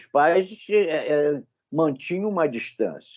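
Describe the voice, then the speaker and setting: A man speaks against a quiet background. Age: 80s. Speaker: study group participant. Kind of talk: group study discussion.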